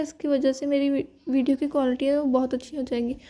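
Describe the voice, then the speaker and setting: In a very clean recording with a silent background, a woman with a high pitch and a dark, mellow tone talks in a flat monotone. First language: not Hindi (speaking Hindi). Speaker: student vlogger. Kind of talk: vlog narration. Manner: casual, chatty.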